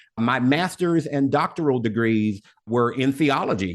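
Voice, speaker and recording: Against a quiet background, a man with a normal speaking voice talks at medium pitch with lively intonation. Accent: American. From US South, Little Rock, Arkansas. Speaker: motivational speaker. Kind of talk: interview.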